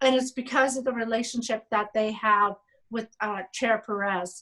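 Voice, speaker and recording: A woman speaks loudly in a bright, sharp tone. Her pace is moderate and her intonation fairly even. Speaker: state legislator. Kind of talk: panel talk. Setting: video call.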